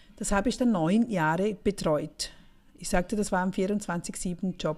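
A woman talks at a fairly slow pace with ordinary pitch variation. Her medium-pitched voice is somewhat breathy, with a dark, mellow tone. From Switzerland, St. Gallen Rhine Valley. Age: 40s. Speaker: podcast host, finance coach for women. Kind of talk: casual monologue.

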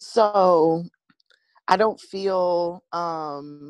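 A woman speaks in a fairly low pitch with fairly even intonation. The sound is dry and close with no echo, and the background is quiet. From US West Coast, San Francisco Bay Area. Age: 30s. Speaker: hair braider. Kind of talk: casual chat.

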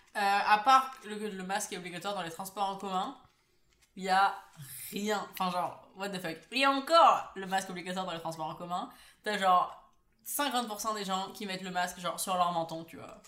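Amid audible room echo, a woman speaks at a medium pitch and moderate pace in an animated tone that is bright and sharp. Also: ordinary pitch variation, big swings in loudness. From Paris, France. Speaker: podcast co-host. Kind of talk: casual chat.

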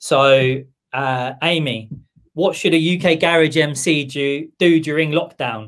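A man's fairly high voice with a southern English accent, very slow pace and ordinary pitch variation. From southern England. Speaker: music producer and label boss. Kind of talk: casual chat. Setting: live stream.

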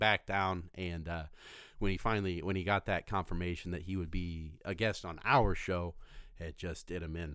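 The background is silent and the recording very clean. A man speaks at a moderate speed. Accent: American. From Indiana. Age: 20s. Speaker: comedy podcast host. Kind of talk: casual chat.

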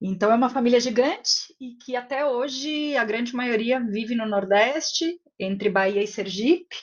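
In a São Paulo accent, a woman talks at a fairly high pitch with ordinary pitch variation. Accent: Paulistano Brazilian Portuguese. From Brazil, São Paulo city. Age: 30s. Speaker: executive director of an education foundation. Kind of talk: casual interview chat.

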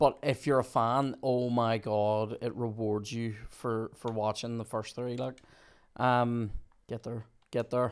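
Recorded very cleanly against a silent background, a man with a Northern Irish accent speaks at medium pitch in a monotone, flat intonation and a fairly slow pace. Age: 30s. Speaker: podcast host. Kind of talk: casual chat.

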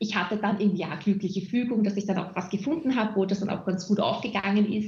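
Her voice is medium in pitch. This woman speaks at a fairly quick pace. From Austria, Vienna. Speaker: HR manager and community lead. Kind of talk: interview. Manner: hesitant, many fillers.

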